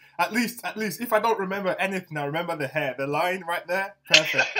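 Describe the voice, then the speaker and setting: A man with a London accent and a high pitch talks in a raised, projected voice at a fairly quick pace, with ordinary pitch variation and light background noise. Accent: sounds somewhat UK, London-like. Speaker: interviewer, podcast host. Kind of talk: casual interview chat. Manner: casual, friendly, enthusiastic. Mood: cheerful, laughing. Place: home room.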